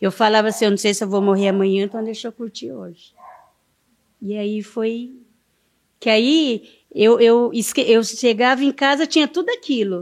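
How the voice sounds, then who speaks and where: A woman speaks with a fairly high pitch and ordinary pitch variation. Her pace is moderate, broken by long, frequent pauses. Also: big swings in loudness. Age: 50s. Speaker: community leader. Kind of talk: interview storytelling.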